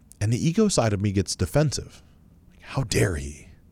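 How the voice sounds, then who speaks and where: There is vocal fry in this man's voice. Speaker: podcast host. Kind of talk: solo monologue podcast, casual and motivational. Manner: conversational, self-reflective, motivational.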